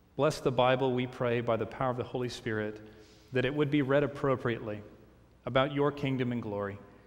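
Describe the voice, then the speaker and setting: His intonation stays fairly even. The man moves through his words at a fairly quick speed. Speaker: pastor. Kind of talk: sermon. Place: church.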